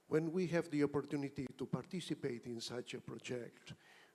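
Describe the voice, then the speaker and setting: A man with a Spanish accent, medium in pitch, at a moderate pace and with fairly even intonation. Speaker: auditing professional. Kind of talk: conference comment.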